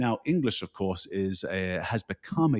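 A man with a British accent and a fairly low pitch, in a dry, close sound with no echo, on a very clean recording with a silent background. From United Kingdom. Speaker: keynote speaker. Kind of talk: casual interview conversation.

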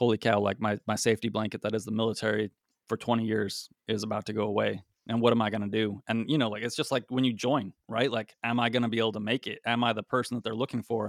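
At a very fast pace, a man with a medium-pitched voice speaks dry and close with no echo on a very clean recording with a silent background. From Utah, Salt Lake City suburbs. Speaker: air force special reconnaissance airman, podcast co-host. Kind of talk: casual interview chat.

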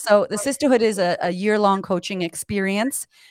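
An animated tone with lively intonation at a moderate pace, in a dry, close sound with no echo. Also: woman. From US, Puerto Rican family. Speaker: confidence coach. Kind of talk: casual interview chat.

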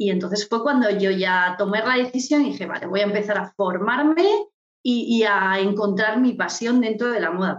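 In a plain, everyday voice, a woman of medium pitch speaks at a moderate pace with ordinary pitch variation. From Murcia, Spain. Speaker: image consultant. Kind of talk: interview.

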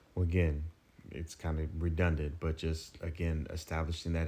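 Monotone with flat intonation, a man speaks at a fairly quick pace in a very deep, low voice that is dark, mellow and somewhat breathy. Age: 40s. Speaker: financial advisor. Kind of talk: casual chat.

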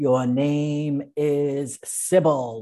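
Someone does a put-on character voice at a low-to-middle pitch. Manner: ominous.

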